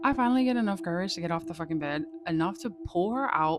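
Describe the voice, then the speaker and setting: A woman's fairly quick speech is heard against noticeable background noise. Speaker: storyteller. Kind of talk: casual storytelling. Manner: animated.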